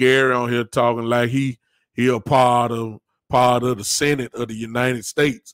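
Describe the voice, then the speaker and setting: A man talks in a Southern US accent with monotone, flat intonation. The sound is dry and close, with no echo. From US South. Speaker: podcast host. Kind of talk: casual chat.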